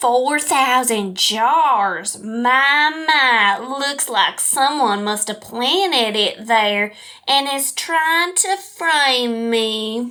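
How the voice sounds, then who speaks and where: A female-sounding voice in a put-on character voice speaks very slowly at a high pitch. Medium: audio drama. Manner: genteel, smooth, condescending.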